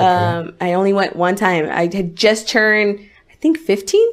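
Speaking at a moderate pace, a woman with an American accent has an unremarkable speaking voice, medium pitch and ordinary pitch variation. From La Puente, Los Angeles area. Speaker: singer. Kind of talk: casual interview chat.

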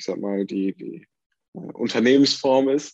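Ordinary pitch variation runs through this man's dark, mellow tone. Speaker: student entrepreneur. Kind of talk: interview.

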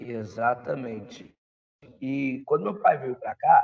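Speech from this man comes very slowly. His pitch rises and falls in an ordinary way. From Espírito Santo, Brazil (born in Rio). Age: 30s. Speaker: pastor. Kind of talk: casual interview. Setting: remote call over internet.

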